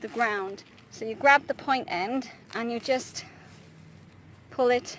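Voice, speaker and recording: Over noticeable background noise, a woman speaks with a British accent. Her pitch is high, with ordinary variation. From Britain. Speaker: traditional archer. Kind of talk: casual tutorial talk to camera. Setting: outdoors. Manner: hesitant, frequent fillers.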